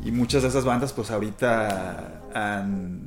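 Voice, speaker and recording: A man talks at a medium pitch with ordinary pitch variation. The audio has audible room echo and noticeable background noise. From Mexico, Culiacán (Sinaloa), also Mexico City and the US. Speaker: rock musician, bassist. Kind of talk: casual interview.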